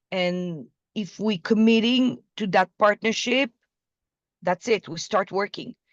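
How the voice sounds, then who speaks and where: Very slow speech from a woman in a medium pitch with an Israeli accent, dry and close with no echo. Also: ordinary pitch variation. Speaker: business development partner. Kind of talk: business video call. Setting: video call.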